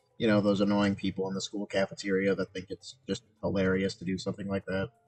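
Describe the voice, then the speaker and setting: Over background music, a man with a fairly low voice talks at a fairly quick pace in a flat monotone. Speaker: gaming streamer. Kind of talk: casual gameplay livestream commentary. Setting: livestream.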